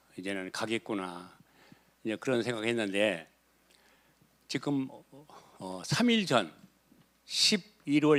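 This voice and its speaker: The man talks at a fairly slow pace. His pitch swings very wide. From South Korea, Boryeong, South Chungcheong. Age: 80s+. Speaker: retired cooperative head and former city councillor. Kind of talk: life story testimony.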